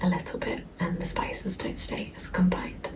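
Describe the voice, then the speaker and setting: Audible room echo and noticeable background noise surround a soft-spoken woman. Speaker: lifestyle vlogger. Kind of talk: casual vlog talk to camera. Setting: at home in flat. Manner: soft-spoken, talking quietly.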